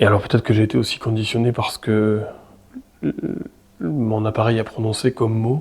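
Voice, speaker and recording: A man's medium-pitched voice at a fairly quick pace, with fairly even intonation and long, frequent pauses. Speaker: paranormal investigator youtuber. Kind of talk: solo paranormal vlog narration. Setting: alone in abandoned house at night. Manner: halting, repeats words.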